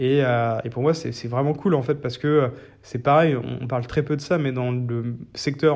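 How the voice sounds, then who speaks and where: The speaker talks at a fairly slow pace with fairly even intonation over a quiet background. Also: man. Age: 30s. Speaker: startup founder. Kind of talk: interview. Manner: halting, many fillers.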